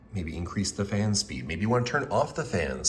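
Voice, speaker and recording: A man with a fairly low pitch and a somewhat breathy voice makes very wide pitch swings. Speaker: UI/UX designer. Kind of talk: product concept demo narration.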